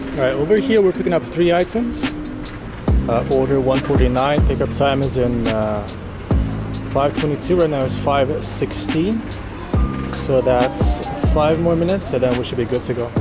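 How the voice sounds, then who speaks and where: Music plays in the background as a man talks at a moderate pace. He leaves long, frequent pauses. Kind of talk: casual vlog chat. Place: street. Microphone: phone near.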